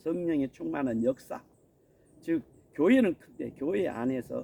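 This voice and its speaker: Moderately paced male speech with very wide pitch swings. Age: 60s. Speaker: missionary preacher. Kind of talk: sermon. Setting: outdoors on a mountain.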